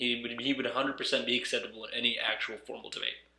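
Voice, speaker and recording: A man is speaking. His pace is fairly quick. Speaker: gaming commentary youtuber. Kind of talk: video commentary. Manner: halting. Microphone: echoey.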